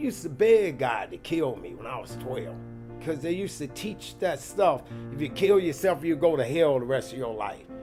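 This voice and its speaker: A man at a fairly high pitch and moderate pace, with very wide pitch swings, big swings in loudness, and music in the background. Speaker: cafe and speakeasy owner. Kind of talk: documentary storytelling. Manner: poetic, comedic and direct.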